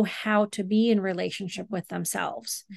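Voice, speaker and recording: A woman with an unremarkable speaking voice and medium pitch talks at a moderate pace, the sound dry and close with no echo over a quiet background. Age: 50s. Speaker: marriage and family therapist and meditation teacher. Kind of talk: interview.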